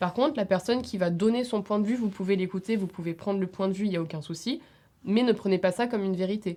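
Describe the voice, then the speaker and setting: A woman's dark, mellow tone at a medium pitch, delivered at a very fast pace. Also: very clean recording, silent background. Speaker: student. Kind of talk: podcast discussion.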